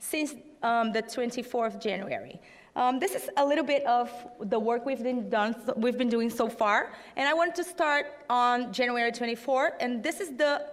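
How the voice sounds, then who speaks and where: Speaking with a Portuguese accent, a woman talks in a high pitch. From Brazil. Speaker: fact-checking network leader. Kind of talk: conference talk. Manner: halting, many fillers.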